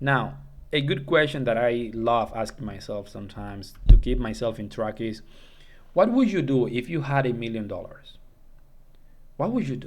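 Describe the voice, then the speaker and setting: A man with a non-native accent talks at a moderate pace and a medium pitch, with ordinary pitch variation and long, frequent pauses. His loudness swings widely, and the room echo is audible. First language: not English. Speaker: self-improvement YouTuber. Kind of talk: casual monologue tutorial. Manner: halting, with fillers and false starts.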